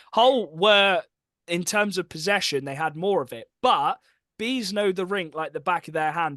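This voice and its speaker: A man with an English accent speaks at a moderate pace. His tone is bright and sharp. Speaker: hockey podcast co-host. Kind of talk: casual chat.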